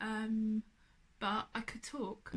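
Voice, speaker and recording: A woman with an English accent speaks at a fairly high pitch. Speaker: cancer survivor. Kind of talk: personal testimony. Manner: slurred speech; hesitant.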